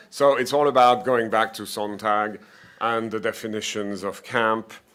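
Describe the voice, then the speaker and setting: At a moderate pace, a man talks at medium pitch with fairly even intonation. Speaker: professor. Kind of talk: conference presentation. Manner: halting. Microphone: poor quality.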